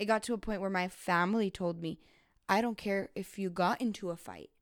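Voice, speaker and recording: In a normal speaking voice, a woman of medium pitch talks at a fairly quick pace with fairly even intonation, the recording very clean and the background silent. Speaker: guest. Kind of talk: casual podcast conversation.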